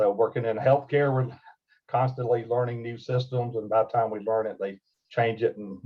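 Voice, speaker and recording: At a moderate pace, the voice sounds somewhat breathy and makes big swings in loudness. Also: man. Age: 60s. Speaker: healthcare ethics presenter, former chaplain. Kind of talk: webinar presentation. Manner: hesitant, many filler words.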